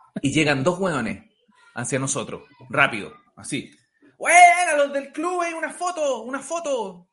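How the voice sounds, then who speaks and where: Someone with a Chilean accent talks at a fairly slow pace, leaving long, frequent pauses. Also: man. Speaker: comedian. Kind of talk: casual chat.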